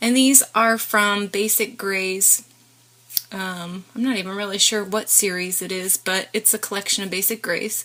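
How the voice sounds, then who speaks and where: Against noticeable background noise, a woman talks at a moderate pace and medium pitch with fairly even intonation. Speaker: crafter. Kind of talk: tutorial.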